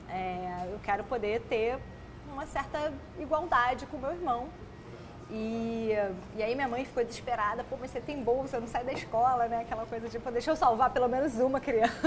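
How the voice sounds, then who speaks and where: Noticeable background noise sits under speech delivered at a moderate pace with ordinary pitch variation. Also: woman, high pitch for a woman. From Brazil, Petrópolis (Rio de Janeiro state). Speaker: emotional intelligence educator and author. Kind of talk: podcast interview. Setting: studio.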